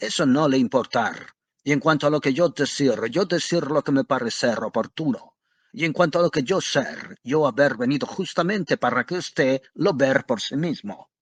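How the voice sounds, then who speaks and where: In a put-on character voice, a man uses a gruff, rumbling tone at a fairly high pitch, speaking at a moderate pace over a quiet background. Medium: read story. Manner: gruff, blustering, broken grammar.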